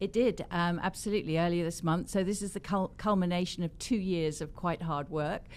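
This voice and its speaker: A woman's fairly low voice in an English accent, at a fairly quick pace with hardly any pauses, on a very clean recording with a silent background. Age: 70s. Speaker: cosmetics company founder and author. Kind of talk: interview.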